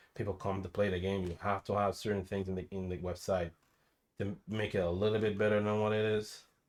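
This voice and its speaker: A man's fairly low, monotone voice with flat intonation at a fairly quick pace, in a very clean recording with a silent background. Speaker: gaming streamer. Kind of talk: unscripted rant. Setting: live stream. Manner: stuttering, halting.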